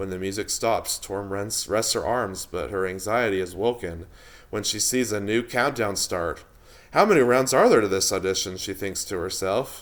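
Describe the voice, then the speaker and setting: A man with an unremarkable speaking voice and fairly low pitch talks at a moderate pace with fairly even intonation, recorded very cleanly against a silent background. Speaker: audiobook narrator. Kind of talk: audiobook narration.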